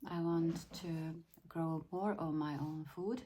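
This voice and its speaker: A woman with a Finland Swedish accent, a fairly low pitch and a dark, mellow tone, somewhat breathy, at a very slow pace with fairly even intonation. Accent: Swedish-Finnish accent in English. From Sweden. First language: Finnish. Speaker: lifestyle vlogger. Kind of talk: casual vlog talk. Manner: halting, repeats words.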